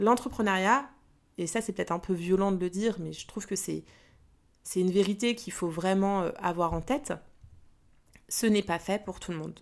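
Long, frequent pauses from a woman at medium pitch and a moderate pace, with ordinary pitch variation on a very clean recording with a silent background. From Paris region, France. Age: 40s. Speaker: business coach and podcaster. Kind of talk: casual monologue. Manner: hesitant with fillers; spontaneous, unscripted.

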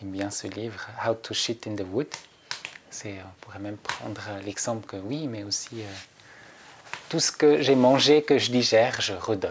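Fairly slow speech in a Swiss German accent with long, frequent pauses, big swings in loudness, ordinary pitch variation and noticeable background noise. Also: man, medium pitch for a man. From Switzerland, Zurich area. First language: Swiss German (speaking French). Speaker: nature guide and trainer. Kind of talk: interview. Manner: halting, many hesitations.

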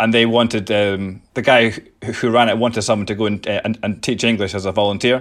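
A man with an Edinburgh accent talks at a very fast pace. His fairly low voice is monotone and flat. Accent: Scottish (Edinburgh). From Scotland, Edinburgh. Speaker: skateboarding charity founder. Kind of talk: interview.

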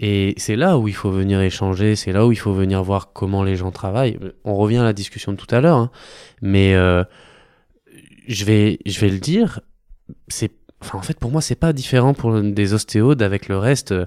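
On a very clean recording with a silent background and a dry, close sound with no echo, a man talks with ordinary pitch variation and long, frequent pauses. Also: fairly low pitch for a man, moderate pace. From Normandy, France (Caen). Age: 30s. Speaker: sports physician. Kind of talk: casual interview. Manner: halting.

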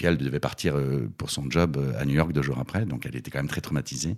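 A man's very deep, low voice with vocal fry, ordinary pitch variation and a fairly quick pace. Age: 50s. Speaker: theatre director. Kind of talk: casual interview.

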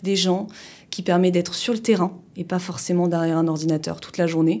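A woman with a fairly low pitch speaks in a dark, mellow tone, her intonation fairly even. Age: 30s. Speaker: insurance agent and business owner. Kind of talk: interview. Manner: hesitant, many fillers.

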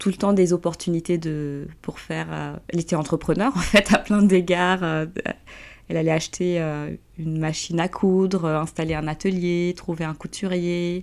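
At a fairly slow pace and with fairly even intonation, the speaker has a plain, everyday voice. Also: woman, fairly low pitch for a woman. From Guinea. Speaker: entrepreneur. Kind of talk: interview.

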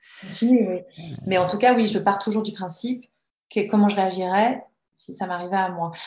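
Somewhat breathy, a woman with a medium pitch talks at a moderate pace with fairly even intonation. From France, Annecy (Haute-Savoie). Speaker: novelist and writing teacher. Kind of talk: interview. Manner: hesitant, many fillers and repetitions.

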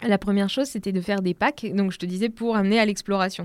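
Very fast speech with ordinary pitch variation. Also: woman. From Normandy, France. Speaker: entrepreneur. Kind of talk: casual chat. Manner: animated.

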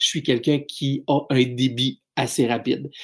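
A man with a Quebec accent speaks at a medium pitch with fairly even intonation. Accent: Québécois French. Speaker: business speaker and trainer. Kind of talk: solo podcast talk.

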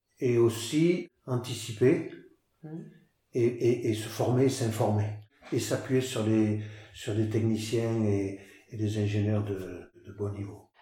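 A man's dark, mellow voice is somewhat breathy, with audible room echo. He speaks at a very slow pace with long, frequent pauses. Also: medium pitch for a man, ordinary pitch variation. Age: 60s. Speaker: farmer. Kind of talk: interview. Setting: on his farm. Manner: halting, frequent repetitions.

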